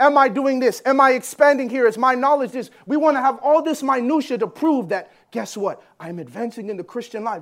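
Here a man speaks at an extremely high pitch with ordinary pitch variation. The recording is very clean, with a silent background. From Jamaica. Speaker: preacher. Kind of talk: sermon.

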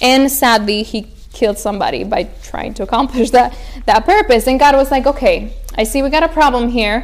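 A high-pitched woman's voice at a fairly quick pace, lively in intonation, with noticeable background noise. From Spain (Romanian-born). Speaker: youth speaker, missionary center staff. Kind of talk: sermon-style talk to young people. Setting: room with live audience.

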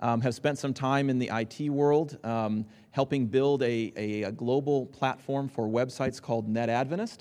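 Here a man with a dark, mellow tone talks at a moderate pace and medium pitch. His intonation stays fairly even, with hardly any pauses. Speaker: entrepreneur. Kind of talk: seminar panel discussion. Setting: stage with audience.

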